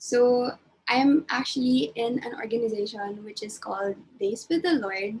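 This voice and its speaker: A woman with a plain, everyday voice speaks fairly high in pitch at a moderate pace. Her pitch varies in an ordinary way, while her loudness swings widely. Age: 20s. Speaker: webinar host. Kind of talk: casual chat.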